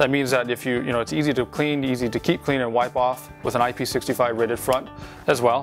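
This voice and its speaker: Over clear music in the background, a man talks at a very fast pace. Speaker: presenter. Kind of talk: product demonstration. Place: studio. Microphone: lapel.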